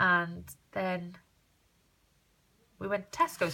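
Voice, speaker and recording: The woman speaking has a bright, sharp tone. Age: 30s. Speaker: crafter vlogger. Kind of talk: casual vlog walkthrough. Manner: fast; chatty.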